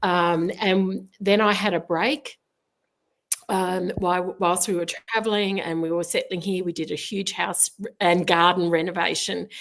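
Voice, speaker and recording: With an Australian accent, a woman speaks at medium pitch. Her pace is fairly slow and her intonation fairly even. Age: 60s. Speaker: artist. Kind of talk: interview. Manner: hesitant, many filler words.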